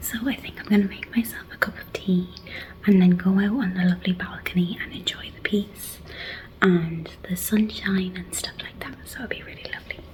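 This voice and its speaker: Against noticeable background noise, a woman whispers with big swings in loudness. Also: moderate pace. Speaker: family travel vlogger. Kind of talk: casual vlog narration. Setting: outdoors on a balcony. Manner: soft-spoken; animated.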